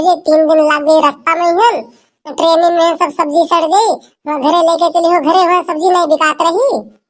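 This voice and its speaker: This is a cartoonish character voice with extremely high pitch. It moves along at a moderate pace. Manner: chatty, scolding.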